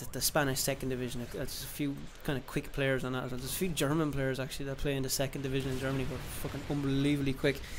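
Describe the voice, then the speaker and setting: A man speaks with an Irish accent. His pitch is fairly high. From Ireland. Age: 20s. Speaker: gaming YouTuber. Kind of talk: casual vlog monologue. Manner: halting, many fillers and restarts.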